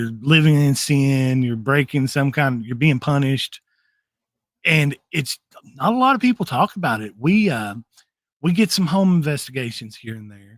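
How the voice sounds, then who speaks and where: This voice has a Southern US accent and lively intonation. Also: man, fairly high pitch for a man, moderate pace, big swings in loudness, dry, close sound with no echo. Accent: Southern twang. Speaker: paranormal investigator. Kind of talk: podcast interview.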